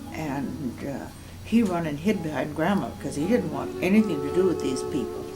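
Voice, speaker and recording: Someone with an Upper Midwest accent speaks at a moderate pace over music in the background. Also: woman. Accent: Upper Midwest American. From Moorhead, Minnesota. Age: 80s+. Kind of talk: oral history interview answer.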